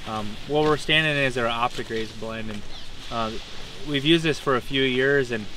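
A man at a fairly quick pace with fairly even intonation, in a dry sound with no echo yet noticeable background noise. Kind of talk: interview answer. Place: farm machine.

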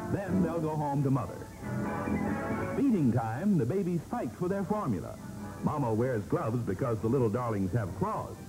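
With very wide pitch swings, a man speaks at a moderate pace and takes long, frequent pauses. Clear music plays in the background. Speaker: newsreel narrator. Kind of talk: light newsreel feature narration. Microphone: old recording.

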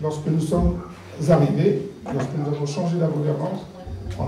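With noticeable background noise and audible room echo, a man speaks at a moderate pace in a fairly high pitch with fairly even intonation. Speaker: election candidate. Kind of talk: campaign speech. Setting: outdoor rally with audience.

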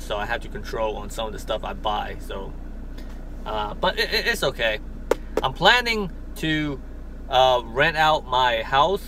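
A man's fairly slow speech, dry with no echo, over noticeable background noise. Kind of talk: casual vlog chat, unboxing. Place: car. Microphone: phone near.

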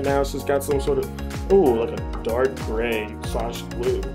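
Music plays in the background. A man is speaking. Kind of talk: comedic voiceover commentary. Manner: casual, bemused.

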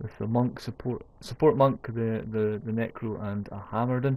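Someone with a Scottish accent speaks at a fairly slow pace. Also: man. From Scotland. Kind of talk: gaming commentary voiceover. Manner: casual, hesitant.

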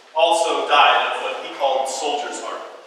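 In a solemn tone and with an American accent, a man with a high voice speaks at a moderate pace amid strong room echo and light background noise. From New Hampshire, US. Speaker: peace activist and Iraq war veteran. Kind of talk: eulogy-style tribute speech at a protest teach-in, solemn and remembering fallen soldiers. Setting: indoors in a statehouse hall, protest gathering. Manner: solemn, halting, with hesitations and repeated words, emotionally heavy; reflective, sincere, grieving. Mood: solemn, memorial tone. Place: hall. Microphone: camera far.

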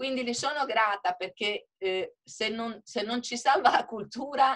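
Against a quiet background, a woman with a fairly high pitch talks at a very slow pace, her pitch swinging very widely. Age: 60s. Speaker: hotelier and author; webinar panelist. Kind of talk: webinar panel discussion. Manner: animated. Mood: earnest, appealing. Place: home room. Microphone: video call.

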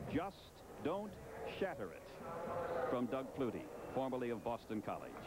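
Moderate-paced speech from a man, ordinary pitch variation, noticeable background noise behind it. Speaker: play-by-play announcer. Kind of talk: live commentary. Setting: stadium broadcast booth.

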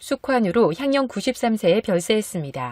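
In a dry, close sound with no echo, a woman with an ordinary speaking voice talks at a moderate pace and a fairly high pitch. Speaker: news announcer. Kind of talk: news read.

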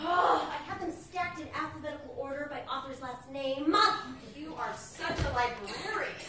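Over loud background noise, a woman talks at a moderate pace with audible room echo. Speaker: actor playing a schoolgirl. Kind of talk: staged reading dialogue. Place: stage. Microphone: camera far.

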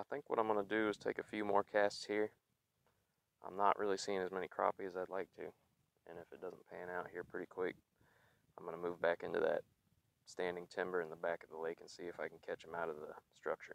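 Low-pitched with vocal fry, a man speaks at a fairly quick pace with little pitch movement, in a dry, close sound with no echo.

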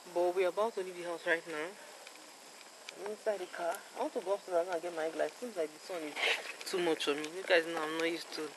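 A woman's fairly low voice at a very fast pace with fairly even intonation, over noticeable background noise. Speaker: vlogger. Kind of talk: casual vlog chat. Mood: playful, laughing. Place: street. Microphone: phone near.

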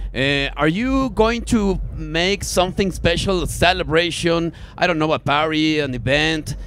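A man with a Spanish accent speaks at a fairly slow pace in a fairly high voice, his loudness very even. The sound is dry with no echo, with light background noise. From Mexico. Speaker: radio host. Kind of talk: live radio interview with Spanish interpretation. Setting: live radio broadcast at a festival. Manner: halting in English, many fillers. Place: booth. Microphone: handheld.

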